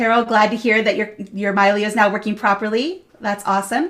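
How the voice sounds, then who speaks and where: A woman talks at a fairly quick pace. Her pitch sits fairly high. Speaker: product evangelist, webinar host. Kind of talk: live webinar Q&A. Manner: fast.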